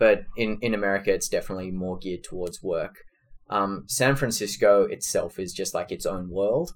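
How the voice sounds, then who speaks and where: Moderately paced male speech in an Australian accent. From Australia, Sydney. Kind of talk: interview.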